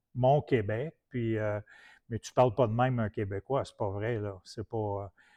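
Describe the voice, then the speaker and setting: A man with a Quebec accent speaks fairly slowly at a medium pitch. His intonation is fairly even, but his loudness shifts a great deal. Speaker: preacher. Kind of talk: sermon.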